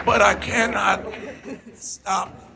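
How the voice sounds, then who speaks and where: A man's very slow speech is heard over noticeable background noise. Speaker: state senator. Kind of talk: political rally speech. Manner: animated.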